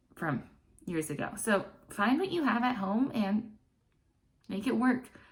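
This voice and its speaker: Audible room echo surrounds a woman's animated voice as she speaks at a fairly slow pace with ordinary pitch variation. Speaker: online English teacher. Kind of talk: tutorial. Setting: home classroom set.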